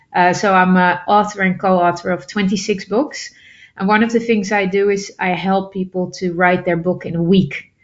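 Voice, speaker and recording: A woman speaks with a Dutch accent at a medium pitch. Her intonation is monotone and flat. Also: moderate pace. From Netherlands. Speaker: public speaker and author. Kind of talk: interview.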